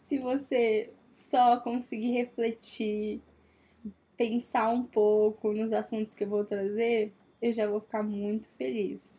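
This woman speaks at a fairly high pitch, her tone dark and mellow and her voice somewhat breathy. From Brazil, Minas Gerais. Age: 20s. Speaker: podcast host, journalism student. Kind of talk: casual solo monologue.

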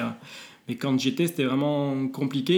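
This man has an ordinary speaking voice at medium pitch, with fairly even intonation. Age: 30s. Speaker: psychologist and mental coach. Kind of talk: interview.

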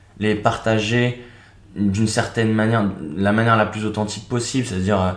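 With audible room echo around him, a man with a fairly low pitch speaks in a monotone, flat intonation. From France, Seine-et-Marne east of Paris. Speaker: video creator and traveller. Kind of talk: interview conversation.

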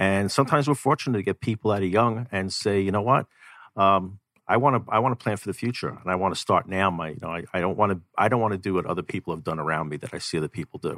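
A man with a fairly low pitch talks very fast with ordinary pitch variation, in a dry, close sound with no echo on a very clean recording with a silent background. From New York City. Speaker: financial coach. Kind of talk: radio interview. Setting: studio.

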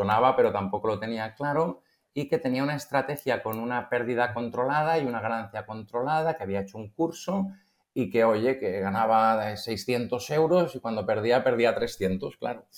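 On a very clean recording with a silent background, a man speaks at a moderate pace in a normal speaking voice, medium in pitch with ordinary pitch variation. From Spain, Barcelona. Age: 50s. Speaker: algorithmic trader. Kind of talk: casual interview.

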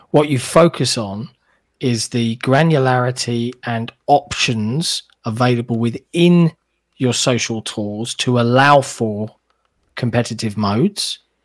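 A man with a British accent speaks at a fairly slow pace, the sound dry and close with no echo. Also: medium pitch for a man, ordinary pitch variation, very clean recording, silent background. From Britain. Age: 30s. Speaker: level designer and podcast guest. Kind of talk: casual chat.

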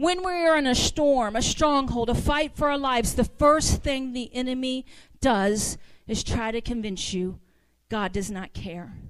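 High-pitched woman with an American accent, fairly slow pace and lively intonation, in a very clean recording with a silent background. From US South. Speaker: guest preacher. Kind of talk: sermon. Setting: church. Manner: animated.

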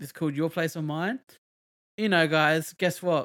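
A man has an unremarkable speaking voice, fairly high in pitch. His intonation is fairly even, and his pace is moderate. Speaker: podcast host. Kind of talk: casual chat. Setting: streaming online from home. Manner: talkative, interrupts often.

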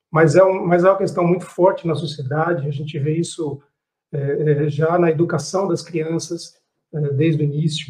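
Music plays in the background. A man speaks at a moderate pace with fairly even intonation. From Brazil. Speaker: business executive. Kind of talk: panel discussion. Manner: halting.

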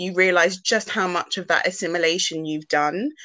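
A woman with a British accent, her voice fairly low, bright and sharp, at a moderate pace. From UK, Ghanaian heritage. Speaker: podcast co-host. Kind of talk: casual chat.

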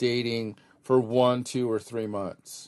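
Against a quiet background, a man with an ordinary speaking voice talks at medium pitch and a moderate pace. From Claremont, California. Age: 50s. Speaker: podcast co-host. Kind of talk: casual chat.

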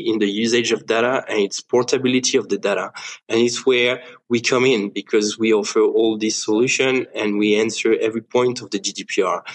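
A man's medium-pitched voice with a French accent and fairly even intonation. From France. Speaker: startup co-founder. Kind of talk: interview.

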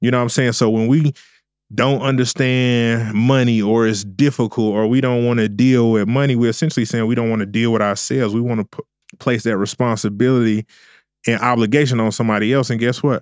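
This voice carries a Southern US accent. Its pace is fairly quick, with fairly even intonation. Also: man, medium pitch for a man. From US South. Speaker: trading and crypto educator. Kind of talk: casual interview. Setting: studio.

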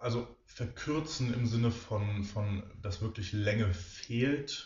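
His delivery is extremely unhurried. The man's voice carries a bit of breathiness. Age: 20s. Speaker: physiotherapist and osteopath. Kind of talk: casual interview.

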